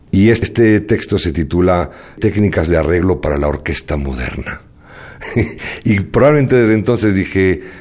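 A man speaks in a very deep, low voice with lively intonation at a moderate pace. Background noise is noticeable. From Spain, moved to Mexico. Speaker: jazz arranger and composer. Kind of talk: radio interview.

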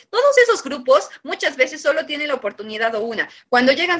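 This woman's voice is high and raised, projected outward. She speaks at a fairly quick pace. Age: 30s. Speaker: politician. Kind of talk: radio debate.

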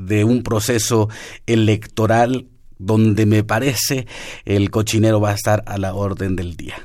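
In a very clean recording with a silent background, a man with a fairly low pitch speaks at a fairly slow pace in an unremarkable speaking voice. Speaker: radio host. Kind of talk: radio interview. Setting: radio studio.

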